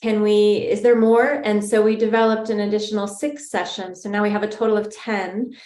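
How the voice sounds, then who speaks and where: In a normal speaking voice, a woman talks at a fairly quick pace with a fairly high pitch and fairly even intonation. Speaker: trauma support program leader. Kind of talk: webinar panel discussion.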